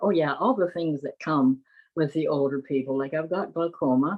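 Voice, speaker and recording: This woman's voice sits very deep and low. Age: 80s+. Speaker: patient with diabetes sharing lived experience. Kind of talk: interview. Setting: webinar video call.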